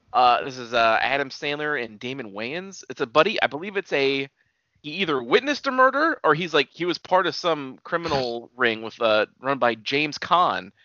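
A plain, everyday voice moves at a moderate pace, with big swings in loudness. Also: man, fairly high pitch for a man. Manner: profane, jokey.

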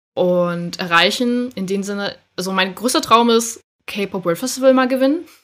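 A woman speaks in an unremarkable speaking voice at medium pitch, with lively intonation and a moderate pace. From northern Germany, Schleswig-Holstein. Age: 20s. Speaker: amateur K-pop dancer. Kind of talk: casual chat.

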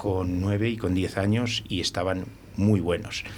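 With audible room echo, a man speaks at a very slow pace. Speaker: winemaker. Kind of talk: casual chat.

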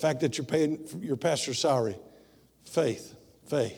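A man with a Tennessee accent speaks in a dark, mellow tone. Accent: Southern US (Tennessee). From US South, rural Tennessee. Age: 60s. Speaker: missionary preacher. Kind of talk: bilingual sermon, self-interpreting English and Spanish. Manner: switches between English and Spanish mid-sentence; halting, many filler sounds.

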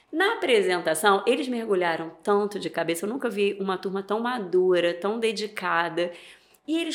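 A woman talks at a moderate pace. Her fairly high voice makes very wide pitch swings. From Niterói, Rio de Janeiro, Brazil. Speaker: leadership and HR consultant. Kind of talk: casual interview chat.

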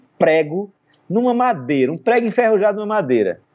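This man speaks at a fairly quick pace with lively intonation. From Brazil. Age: 50s. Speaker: photographer. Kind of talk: interview conversation. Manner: animated.

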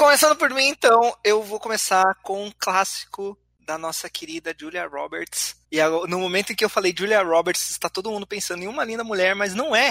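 A man's raised, projected voice, high in pitch with lively intonation, at a moderate pace with hardly any pauses, in a dry, close sound with no echo. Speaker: podcast host and editor. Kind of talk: casual chat. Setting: online call recorded via Discord.

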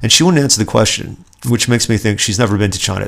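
An angry-sounding man speaks at a fairly low pitch with ordinary pitch variation. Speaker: podcast host. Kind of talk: solo political commentary podcast, ranting. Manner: angry, indignant, sarcastic, worked-up; conversational, self-deprecating, chatty.

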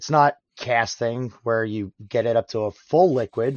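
A man's medium-pitched, normal speaking voice, with ordinary pitch variation at a moderate pace. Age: 30s. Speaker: blacksmith and iron smelter. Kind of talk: casual chat.

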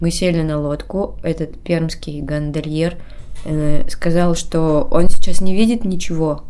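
A woman with a fairly low pitch speaks at a very slow pace, with ordinary pitch variation and big swings in loudness. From Kudymkar, Perm region. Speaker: actress. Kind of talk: casual chat. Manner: animated, halting with fillers.

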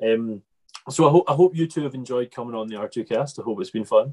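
The sound is dry and close, with no echo. The delivery is very fast. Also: man. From Scotland. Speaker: farming podcast host. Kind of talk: casual interview. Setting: video call.

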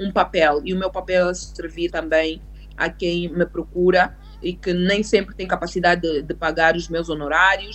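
A woman talks at a moderate pace and a medium pitch. It is a plain, everyday voice. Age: 30s. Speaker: lawyer. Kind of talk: interview on immigration law.

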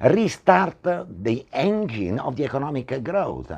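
A man with an Italian accent makes very wide pitch swings. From Italy. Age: 60s. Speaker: property entrepreneur. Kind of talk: talk show interview. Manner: halting.

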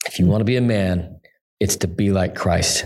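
A man with an American accent speaks at a moderate pace in a normal speaking voice, his pitch fairly low. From Utah. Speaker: pastor. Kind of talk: interview.

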